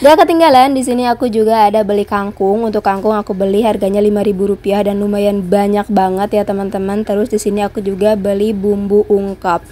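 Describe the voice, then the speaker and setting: With music in the background, a woman at medium pitch talks at a very fast pace with hardly any pauses. Her intonation is fairly even. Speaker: housewife vlogger. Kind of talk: vlog voiceover. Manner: casual chatty.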